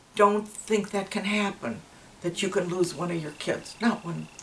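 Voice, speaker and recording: Noticeable background noise runs behind the voice. A woman speaks at a fairly slow pace with fairly even intonation. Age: 80s+. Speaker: grandmother. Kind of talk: interview answer.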